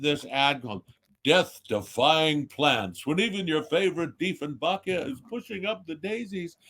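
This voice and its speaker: With lively intonation, a fairly high pitch and a moderate pace, this man talks in an unremarkable speaking voice. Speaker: voice actor. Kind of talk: interview answer.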